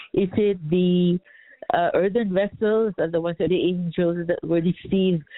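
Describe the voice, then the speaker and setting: A woman talks at a fairly slow pace with monotone, flat intonation. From Canada. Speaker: caller. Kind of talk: phone-in question. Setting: phone call.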